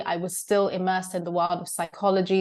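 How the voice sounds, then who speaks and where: Against a quiet background, a woman with a British accent speaks in a monotone, flat intonation. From Zimbabwe. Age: 30s. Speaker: coach. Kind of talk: podcast interview.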